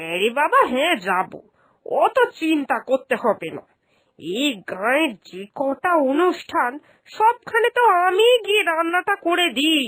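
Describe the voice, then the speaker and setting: A woman puts on a cartoonish character voice, extremely high and swinging very widely in pitch. She keeps a moderate pace, and the sound is dry and close with no echo. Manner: warm, motherly, insistent.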